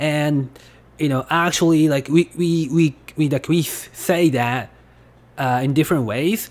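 A voice with a Japanese accent comes through in a very clean recording with a silent background. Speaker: language teacher. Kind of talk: tutorial. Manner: halting.

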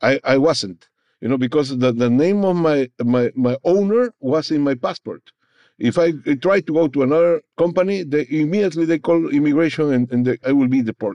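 Lively intonation marks this man's fairly high voice. His loudness is very even. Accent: Peruvian. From Peru. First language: Spanish. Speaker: former migrant worker, labor advocate. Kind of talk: interview. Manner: halting.

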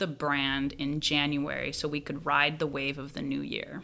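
Very deep and low in pitch, a woman speaks at a moderate pace with vocal fry and a bright, sharp tone. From Venezuela. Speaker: brand marketing manager. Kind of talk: interview.

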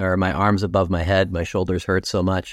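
With a Canadian accent and a plain, everyday voice, a man with a fairly low pitch talks at a moderate pace with fairly even intonation, in a very clean recording with a silent background and a dry, close sound with no echo. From Ontario, Canada (York Region). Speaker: former Olympic alpine skier, TV ski analyst. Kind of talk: interview conversation.

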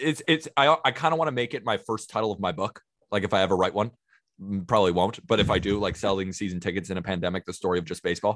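On a very clean recording with a silent background, a man with an American accent speaks at a very fast pace. His fairly low voice carries lively intonation. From California. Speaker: baseball podcaster. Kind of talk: casual chat.

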